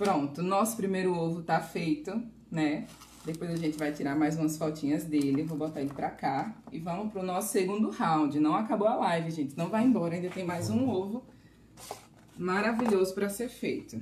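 A woman with a plain, everyday voice speaks at a fairly low pitch. Her intonation is lively and her pace moderate. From Bahia, Brazil. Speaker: pastry chef giving a live class. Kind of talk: live cooking class streamed online. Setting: live stream.

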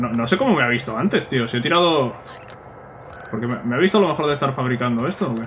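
A man's medium-pitched voice at a very fast pace, with lively intonation, long, frequent pauses and noticeable background noise. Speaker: gaming youtuber. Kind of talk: let's play commentary. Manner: casual, chatty.

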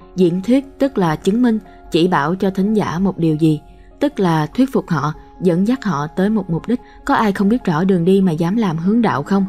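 With music in the background, a woman speaks in lively intonation at a very even loudness. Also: medium pitch for a woman, moderate pace. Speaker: audiobook narrator. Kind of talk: audiobook reading of a self-help book.

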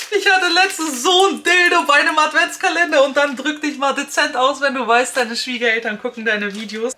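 A woman with a high, bright, sharp voice projects it loudly, talking at a fairly quick pace with lively intonation over light background noise. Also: hardly any pauses. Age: 30s. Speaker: beauty YouTuber. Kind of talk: product unboxing vlog. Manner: animated. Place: home room.

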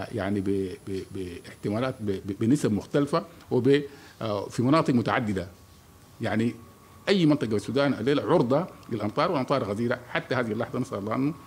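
There is light background noise as a man speaks. His pace is moderate, with ordinary pitch variation. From Sudan. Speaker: meteorology official. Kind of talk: press conference briefing. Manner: halting, many pauses. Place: hall. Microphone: podium.

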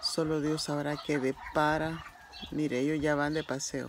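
A woman's very deep, low voice comes through with noticeable background noise. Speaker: vlogger. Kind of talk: casual vlog narration. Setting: outdoors at home with animals. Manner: animated.

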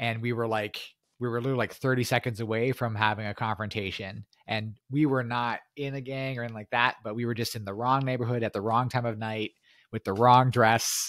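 A man talks at a fairly quick pace in a monotone, with flat intonation. The sound is dry with no echo, over a quiet background. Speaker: podcast host. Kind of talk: interview. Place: home room. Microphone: studio mic.

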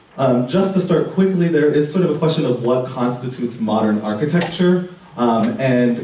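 Here a man talks with lively intonation. Audible room echo and light background noise surround his voice. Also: moderate pace. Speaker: art history professor. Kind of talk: lecture. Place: hall.

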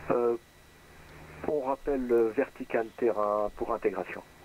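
A man talks at a very slow pace, and the sound is dry with no echo. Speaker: private pilot flying in a flight simulator. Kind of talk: aviation radio phraseology. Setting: online voice chat. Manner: formal. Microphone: headset.

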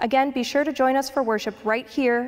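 Her pace is moderate. The woman's pitch varies in an ordinary way. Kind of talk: announcements. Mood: warm, calm. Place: church. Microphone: handheld.

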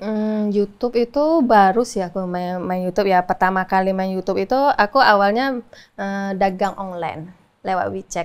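Her pitch sits in the medium range for a woman, with ordinary pitch variation. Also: moderate pace. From Indonesia. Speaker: YouTuber and food truck seller; interview guest, YouTuber. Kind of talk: interview. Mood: relaxed, friendly. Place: studio. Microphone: lapel.

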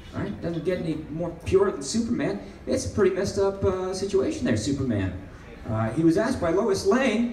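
A man's high-pitched voice with lively intonation, audible room echo and light background noise. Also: moderate pace. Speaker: stand-up comedian. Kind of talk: stand-up comedy set. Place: stage. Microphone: pa.

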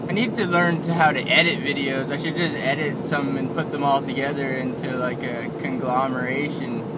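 A man's moderately paced speech, with ordinary pitch variation, competes with loud background noise. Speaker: driver vlogger. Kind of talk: casual vlog chat. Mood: sober about fatal crash. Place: car. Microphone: phone near.

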